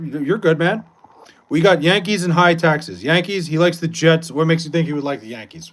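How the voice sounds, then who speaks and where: Talking fairly quickly in a New York accent, a man uses a high pitch and an animated tone. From New York, Long Island. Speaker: livestreamer. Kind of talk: casual chat with live chat. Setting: livestream.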